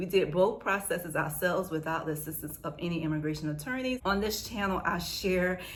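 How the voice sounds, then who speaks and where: Against noticeable background noise and audible room echo, a woman with an American accent talks at a fairly quick pace, her pitch medium and her intonation fairly even. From United States. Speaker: vlogger sharing family immigration experience. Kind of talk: casual storytime vlog. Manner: fast; chatty.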